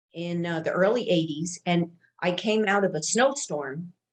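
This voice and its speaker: A woman with an American accent and a normal speaking voice, fairly low in pitch, at a moderate pace with ordinary pitch variation. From New York. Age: 60s. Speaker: longevity and health expert. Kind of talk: casual interview chat.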